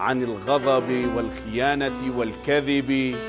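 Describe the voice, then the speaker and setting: A man is speaking. Music plays in the background. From Tunisia. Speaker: TV presenter; poet. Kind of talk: poetry reading.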